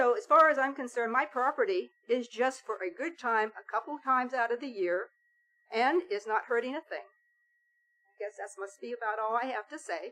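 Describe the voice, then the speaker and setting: A woman's high, bright, sharp voice at a fairly quick pace, with very wide pitch swings. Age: 70s. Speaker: property owner addressing council. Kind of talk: public comment. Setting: city council meeting.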